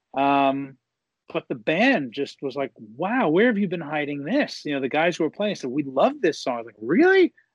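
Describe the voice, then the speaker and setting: A man with an American accent talks at a moderate pace, his pitch fairly high and his intonation lively. It is an unremarkable speaking voice, recorded dry and close with no echo against a quiet background. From USA. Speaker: rock singer-songwriter. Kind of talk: interview.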